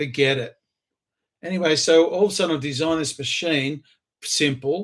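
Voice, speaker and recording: A man talks in an Australian accent, keeping his intonation fairly even. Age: 60s. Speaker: inventor and entrepreneur. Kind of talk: self-recorded pitch video.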